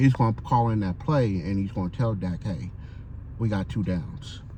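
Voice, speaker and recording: A man's somewhat breathy voice, dark and mellow in tone, at a moderate pace with ordinary pitch variation. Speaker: sports fan vlogger; military veteran. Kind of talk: casual monologue vlog. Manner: halting, stuttering.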